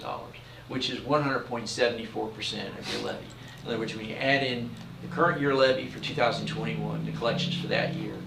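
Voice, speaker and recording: Very fast speech from a man with an American accent, medium pitch and ordinary pitch variation, big swings in loudness, noticeable background noise and audible room echo. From Philadelphia, US Northeast. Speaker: property tax collector reporting to school board. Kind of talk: report to school board meeting. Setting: school board meeting room. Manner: hesitant, many fillers.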